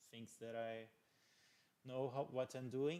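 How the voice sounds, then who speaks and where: A man is speaking. He has a non-native accent. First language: not English. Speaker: electronics youtuber doing PCB design live stream. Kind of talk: live stream tutorial, casual. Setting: live stream at home lab. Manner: halting, many fillers and repetitions.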